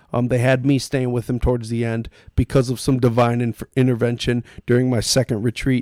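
A man with a normal speaking voice talks at a moderate pace and medium pitch. The recording is dry and close, with no echo. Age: 30s. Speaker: podcast guest, influencer. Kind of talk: casual chat. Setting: in person, recording at guest's place.

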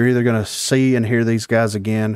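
A man talks in a Southern US accent. The recording is very clean, with a silent background. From US South. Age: 30s. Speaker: podcast host. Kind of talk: casual chat.

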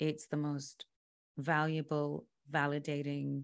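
In a very clean recording with a silent background, a voice with a British accent speaks at a very slow pace. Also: woman. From London, England. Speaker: musician and yoga instructor. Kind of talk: casual chat.

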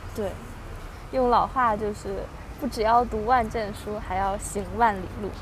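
Over noticeable background noise and audible room echo, a woman speaks fairly slowly at a fairly high pitch, with monotone, flat intonation and long, frequent pauses. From Beijing, northern China. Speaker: podcast host. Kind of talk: casual chat.

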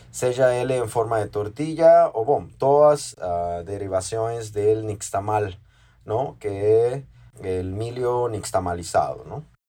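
A man's very slow, somewhat breathy voice with a dark, mellow tone and ordinary pitch variation. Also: medium pitch for a man. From Mexico, Oaxaca. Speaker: chef and restaurant owner. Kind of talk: interview. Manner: halting, with repetitions.

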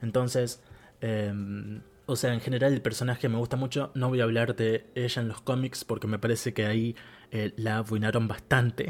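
A man's medium-pitched voice in a Rioplatense accent, with fairly even intonation. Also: moderate pace. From Argentina. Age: 20s. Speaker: podcast host. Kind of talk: solo podcast monologue. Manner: hesitant, many fillers.

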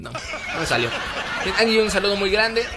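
A man speaks in a raised, projected voice. There is noticeable background noise. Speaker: radio host. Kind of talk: casual radio talk show. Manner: animated.

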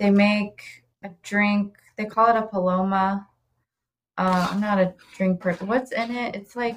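A woman with an American accent talks at a medium pitch in a flat monotone, her voice somewhat breathy. She leaves long, frequent pauses. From Ohio (Oxford). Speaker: pastry chef and bakery owner. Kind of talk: casual interview chat.

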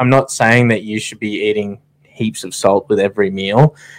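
On a very clean recording with a silent background, a man with an Australian accent speaks at a moderate pace in a fairly low pitch. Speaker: podcast co-host, army veteran. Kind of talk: casual chat. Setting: studio.

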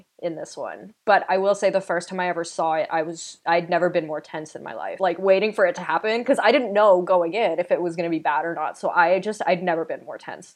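A woman with an ordinary speaking voice and a Canadian accent talks fairly quickly with hardly any pauses, a fairly low pitch, ordinary pitch variation, and big swings in loudness. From Canada. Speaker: podcast host. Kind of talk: casual chat.

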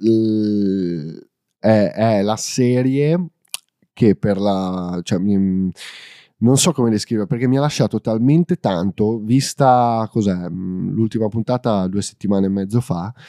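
At a very slow pace, a man with a fairly low pitch and a dark, mellow tone speaks with ordinary pitch variation, the sound dry and close with no echo and the background silent in a very clean recording. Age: 20s. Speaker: film enthusiast. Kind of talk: casual chat. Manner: halting.

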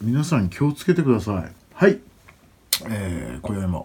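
The voice belongs to a man and is somewhat breathy. Its tone is dark and mellow. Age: 30s. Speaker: podcast host and event MC. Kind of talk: solo casual monologue. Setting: at home. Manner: halting, many fillers.

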